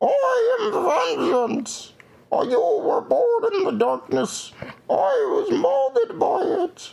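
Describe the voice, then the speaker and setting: In a put-on character voice, a man talks at a very slow pace and an extremely high pitch. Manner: menacing.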